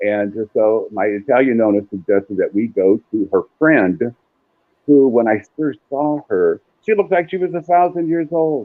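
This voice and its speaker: Pitched fairly high, a man speaks at a moderate pace. His pitch swings very widely. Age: 60s. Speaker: psychic medium. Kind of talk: storytelling interview.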